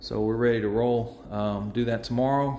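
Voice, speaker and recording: Over light background noise and audible room echo, a man speaks at a moderate pace in a monotone, flat delivery. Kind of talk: casual vlog chat. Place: workshop. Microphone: phone near.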